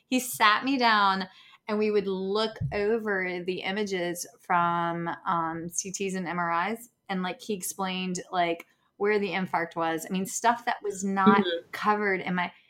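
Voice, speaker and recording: Speaking at a fairly slow pace with a Southern US accent, a woman keeps a medium pitch and fairly even intonation. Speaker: speech pathologist. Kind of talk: casual chat. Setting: video call.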